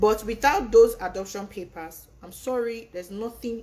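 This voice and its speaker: Ordinary pitch variation marks the voice. The speaker is a woman. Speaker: immigration consultant. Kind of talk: live webinar presentation and Q&A. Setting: online livestream. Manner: fast.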